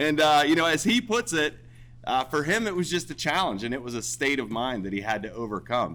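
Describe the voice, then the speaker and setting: A loud man with an American accent, fairly high in pitch, with a bright, sharp tone, vocal fry, very wide pitch swings and a fairly quick pace. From Pennsylvania, Cambria County (Mineral Point). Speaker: military veteran. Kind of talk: ceremony speech.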